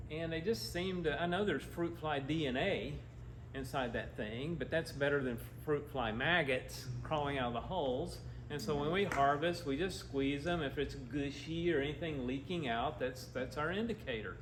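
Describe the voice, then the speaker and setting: With an Appalachian accent, a man talks at a moderate pace in a fairly high pitch with ordinary pitch variation, amid audible room echo and noticeable background noise. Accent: Southern US (Appalachian). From US South, western North Carolina / east Tennessee. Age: 60s. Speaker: agriculture nonprofit co-founder. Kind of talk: club talk with slides. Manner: casual, animated.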